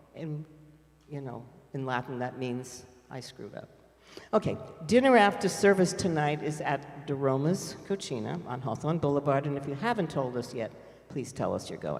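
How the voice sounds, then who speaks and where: An American-accented man talks at a moderate pace with a fairly high pitch. His intonation is lively and his loudness swings widely. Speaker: congregation lay leader. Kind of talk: congregational announcements. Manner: chatty, informal.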